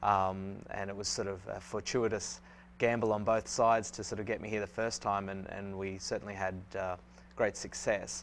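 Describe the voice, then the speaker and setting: This man's pitch is fairly low and his intonation fairly even. He speaks at a moderate pace. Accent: Australian. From Australia. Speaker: swim coach. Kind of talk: interview. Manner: halting, many fillers.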